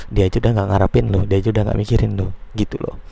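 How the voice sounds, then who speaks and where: Words come at a very fast pace, with noticeable background noise underneath. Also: man. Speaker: podcaster giving advice. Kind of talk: casual monologue.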